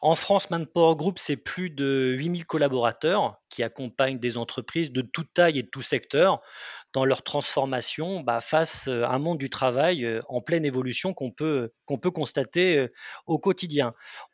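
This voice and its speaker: Pitched fairly high, a man speaks at a moderate pace with ordinary pitch variation, over a quiet background with a dry, close sound and no echo. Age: 40s. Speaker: pre-sales manager, client of customer success managers. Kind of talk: interview. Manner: halting, many repetitions and fillers.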